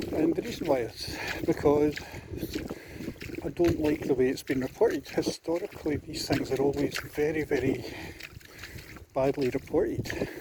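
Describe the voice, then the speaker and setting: Quiet and fairly high-pitched, a man with a Scottish accent speaks with ordinary pitch variation and long, frequent pauses over noticeable background noise. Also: moderate pace. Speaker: vlogger. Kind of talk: video diary monologue while walking. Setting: outdoors on a beach walk. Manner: quietly spoken.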